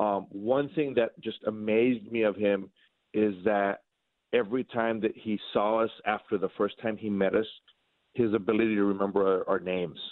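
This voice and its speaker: A plain, everyday voice from a man, fairly low in pitch, with fairly even intonation at a moderate pace. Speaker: border patrol agent. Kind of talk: interview. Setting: phone call.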